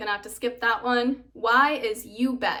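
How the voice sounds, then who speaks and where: A woman with an American accent speaks in a bright, sharp tone and a flat, monotone delivery. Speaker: English teacher. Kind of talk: tutorial.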